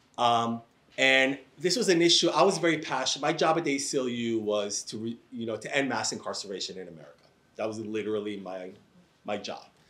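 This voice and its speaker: A man with an unremarkable speaking voice talks at a fairly quick pace, with lively intonation and big swings in loudness. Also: medium pitch for a man. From Israel, raised in New York. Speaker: professor and civil rights advocate. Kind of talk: panel discussion. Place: classroom.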